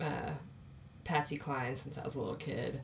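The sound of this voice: A woman speaks at a moderate pace in a low pitch with vocal fry and little pitch movement.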